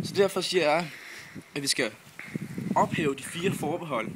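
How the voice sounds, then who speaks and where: Over noticeable background noise, a man talks at a moderate pace with a fairly high pitch and lively intonation. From Funen, Denmark. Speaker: student. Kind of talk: vlog argument. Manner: hesitant.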